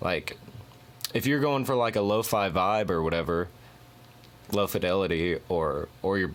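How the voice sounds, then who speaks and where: Fairly low in pitch with ordinary variation, a man talks at a moderate pace. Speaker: music producer. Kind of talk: tutorial. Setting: home studio. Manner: halting.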